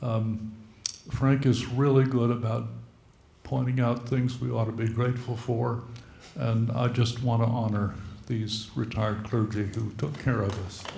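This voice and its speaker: A man at medium pitch speaks at a fairly slow pace in a monotone, flat intonation. His dark, mellow voice is somewhat breathy, with audible room echo. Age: old. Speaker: retired clergy. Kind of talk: church meeting remarks.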